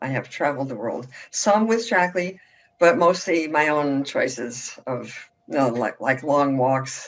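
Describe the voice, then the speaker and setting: At a fairly slow pace, a woman with a very deep, low pitch speaks with lively intonation. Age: 80s+. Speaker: network marketing distributor and writer. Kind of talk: interview testimony. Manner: halting, many repetitions.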